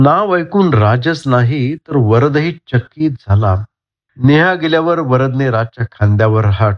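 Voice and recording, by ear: Lively intonation runs through this reading aloud in a natural voice over a quiet background.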